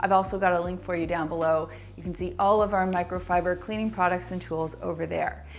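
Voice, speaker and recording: Faint music plays in the background. A woman talks at a fairly quick pace. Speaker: cleaning channel host. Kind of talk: tutorial. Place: kitchen.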